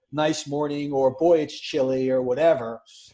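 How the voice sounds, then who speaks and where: A man with a New York accent, a dark, mellow tone, and a fairly high pitch. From New York City. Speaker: podcast co-host. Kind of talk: casual chat.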